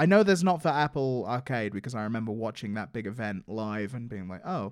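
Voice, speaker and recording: In an English accent, a man talks at a fairly quick pace with very wide pitch swings, in a very clean recording with a silent background. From England. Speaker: podcast co-host, live stream producer. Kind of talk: casual chat.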